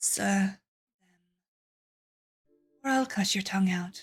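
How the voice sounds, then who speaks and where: In a put-on character voice, a woman growls at a fairly slow pace with a medium pitch. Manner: menacing, threatening.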